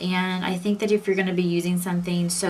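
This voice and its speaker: A woman with a fairly low voice talks at a very fast pace. Noticeable background noise runs under her speech. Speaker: beauty vlogger. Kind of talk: tutorial. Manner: casual and chatty.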